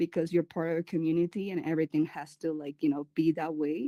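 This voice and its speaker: With a Spanish accent, a woman speaks in a dark, mellow tone at a fairly low pitch and fairly even intonation, in a dry, close sound with no echo. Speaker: community curator and event planner. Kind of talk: panel interview. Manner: halting, many fillers.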